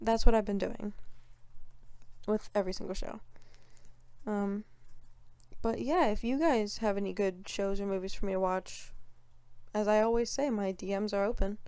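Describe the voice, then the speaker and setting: Her dark, mellow tone carries fairly even intonation. The woman keeps a moderate pace broken by long, frequent pauses. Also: medium pitch for a woman. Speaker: solo podcaster. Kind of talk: casual solo podcast chat. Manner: casual, filler-heavy.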